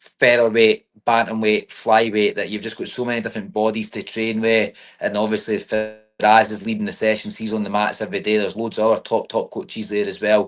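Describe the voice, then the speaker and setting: With music in the background, a man in a Scottish accent speaks at a medium pitch in a flat monotone, moving at a fairly quick pace with hardly any pauses. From Scotland. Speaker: MMA fighter. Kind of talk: casual interview.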